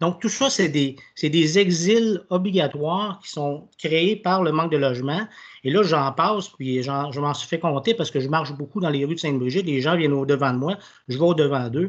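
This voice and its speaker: Against a quiet background, a man talks at a moderate pace with a fairly high pitch and ordinary pitch variation. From Quebec. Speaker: municipal councillor. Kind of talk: council meeting statement. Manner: halting. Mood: earnest, persuasive. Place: home room. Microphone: video call.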